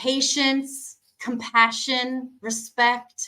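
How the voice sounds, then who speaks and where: A woman's raised, projected voice, high in pitch with a bright, sharp tone, monotone, flat intonation and a very slow pace. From USA. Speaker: cheese specialist. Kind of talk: interview. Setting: video call.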